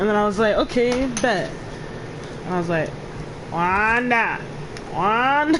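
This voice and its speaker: The voice is quiet and set against noticeable background noise. It moves at a fairly slow pace with long, frequent pauses. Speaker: gaming streamer. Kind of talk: casual chat.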